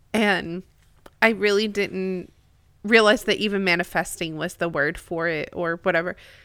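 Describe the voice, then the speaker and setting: With an ordinary speaking voice, a woman talks at a moderate pace and medium pitch, keeping a fairly even intonation. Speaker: co-host. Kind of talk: casual discussion podcast.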